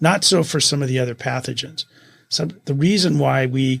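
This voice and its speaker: A man at medium pitch and a moderate pace. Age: 60s. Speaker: food safety lawyer. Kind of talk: interview. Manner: halting.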